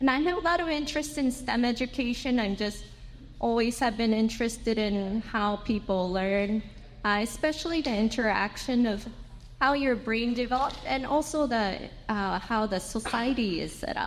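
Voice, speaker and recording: Audible room echo around a woman's fairly high voice, moderate in pace, with ordinary pitch variation. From Japan. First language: Japanese. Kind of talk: conference presentation. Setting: symposium with audience. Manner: halting, with fillers.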